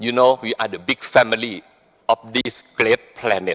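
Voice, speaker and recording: Moderate pace in a dry, close sound with no echo. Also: man. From Thailand. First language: Thai. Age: 60s. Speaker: business leader. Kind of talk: speech at a business forum.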